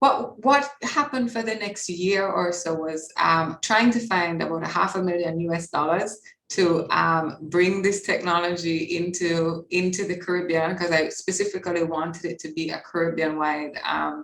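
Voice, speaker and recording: A woman speaks at a moderate pace with hardly any pauses, in a fairly low pitch with ordinary pitch variation. Noticeable background noise runs underneath. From Jamaica. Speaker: PR agency founder. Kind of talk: interview.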